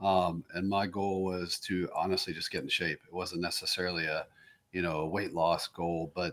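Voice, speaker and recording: Delivered at a moderate pace, a man's voice sits at a very deep, low pitch with monotone, flat intonation. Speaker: business owner. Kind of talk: casual interview conversation.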